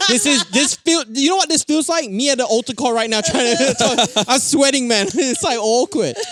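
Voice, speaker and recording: Over noticeable background noise, a man with an extremely high pitch talks with hardly any pauses, lively intonation and very even loudness. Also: moderate pace. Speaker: podcast co-host. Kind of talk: casual chat.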